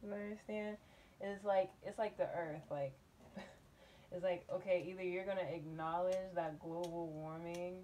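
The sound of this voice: With fairly even intonation, a woman speaks in a dark, mellow tone. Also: fairly low pitch for a woman, fairly slow pace.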